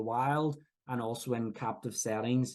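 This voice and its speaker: Speaking at a moderate pace, a man with a Northern Irish accent uses a medium-pitched voice. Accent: Northern Irish (Belfast). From Northern Ireland, Belfast. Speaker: professor. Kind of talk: lecture. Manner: halting, frequent fillers and restarts.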